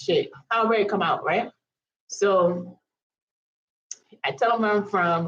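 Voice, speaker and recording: Here a woman with an American accent speaks at a medium pitch. Her voice is somewhat breathy and animated in tone. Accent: Virgin Islands accent, noticed by others. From US Virgin Islands, Saint Thomas. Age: 30s. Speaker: vlogger. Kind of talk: storytime monologue. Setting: live stream.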